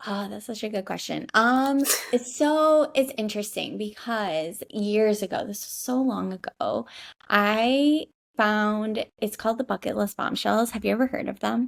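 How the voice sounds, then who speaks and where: A woman's animated voice in a Midwestern American accent, fairly high in pitch, at a fairly slow pace with ordinary pitch variation, on a very clean recording with a silent background. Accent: Midwest American. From US Midwest, Michigan. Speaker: digital nomad, social media marketer. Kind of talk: podcast interview. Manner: animated, chatty.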